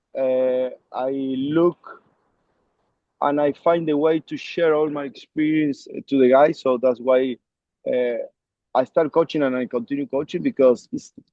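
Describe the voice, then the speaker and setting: At a fairly slow pace and a fairly high pitch, a man with an Argentine accent speaks with fairly even intonation and long, frequent pauses. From Argentina, Córdoba. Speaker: rugby coach. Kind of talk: interview. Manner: halting, many fillers.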